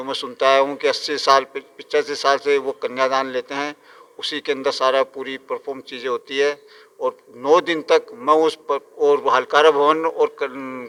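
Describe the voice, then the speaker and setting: In a dry, close sound with no echo, a man with a fairly high pitch speaks in a monotone, flat intonation. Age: 60s. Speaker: temple priest. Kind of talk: interview. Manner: halting with self-corrections.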